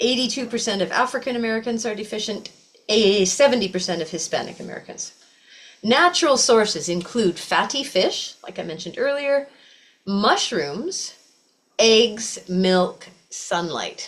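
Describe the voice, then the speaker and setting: At a moderate pace, a normal speaking voice carries lively intonation. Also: woman, fairly high pitch for a woman. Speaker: yoga teacher. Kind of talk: class lecture.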